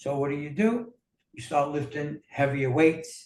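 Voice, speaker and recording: A man with a New York accent speaks at a fairly high pitch. His voice is somewhat breathy, with ordinary pitch variation. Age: 60s. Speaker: motivational speaker. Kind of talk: interview.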